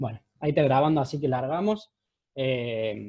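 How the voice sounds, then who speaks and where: In a dry, close sound with no echo, a man's somewhat breathy, dark, mellow voice keeps a fairly even intonation. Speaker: surgeon teaching residents. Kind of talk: lecture. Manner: fast.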